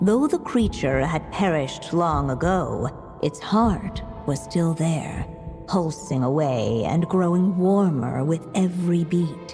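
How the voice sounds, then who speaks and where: Clear music sits behind a put-on character voice that moves at a fairly slow pace in a middle pitch. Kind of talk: fairy-tale narration. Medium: machinima. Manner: measured, solemn.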